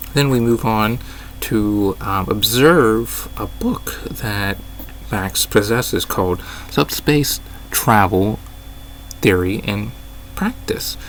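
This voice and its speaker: Very slowly, a man speaks with long, frequent pauses. Noticeable background noise runs beneath him. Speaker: gaming YouTuber. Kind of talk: video commentary breakdown. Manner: hesitant with fillers.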